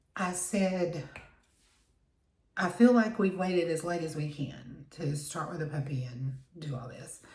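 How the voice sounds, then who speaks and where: A woman's fairly low voice in a Southern US accent, fairly slow, with ordinary pitch variation, big swings in loudness and audible room echo. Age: 60s. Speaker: beauty vlogger. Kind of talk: casual chat.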